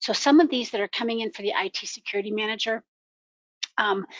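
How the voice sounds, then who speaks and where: This woman talks at a very fast pace. Her fairly high voice has ordinary pitch variation. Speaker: ERP security consultant. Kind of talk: webinar presentation. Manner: hesitant, many ums.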